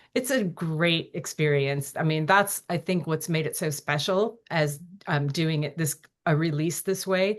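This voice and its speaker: A plain, everyday voice, fairly slow in pace, its pitch varying in an ordinary way. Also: woman, fairly low pitch for a woman. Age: 60s. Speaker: author and filmmaker. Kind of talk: interview. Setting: podcast.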